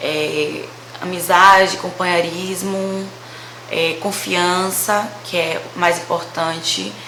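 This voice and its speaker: Monotone and flat, a woman's fairly low voice comes through audible room echo and noticeable background noise. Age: 20s. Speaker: vlogger. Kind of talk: casual storytelling vlog.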